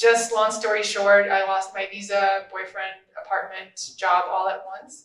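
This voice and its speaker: A woman with a Russian accent, medium in pitch, at a very slow pace with big swings in loudness. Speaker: social media influencer and podcaster. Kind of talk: panel discussion.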